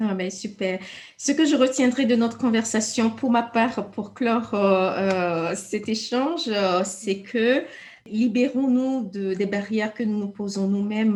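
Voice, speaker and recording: A somewhat breathy woman speaks fairly slowly at a fairly high pitch with ordinary pitch variation. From Togo. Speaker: interviewer. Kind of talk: interview.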